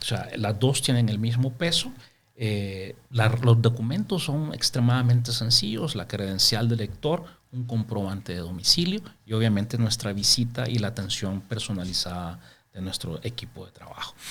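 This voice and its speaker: Somewhat breathy, a man speaks at a moderate pace and medium pitch, with ordinary pitch variation. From El Salvador, Santa Ana. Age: 50s. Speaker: microfinance businessman. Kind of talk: interview.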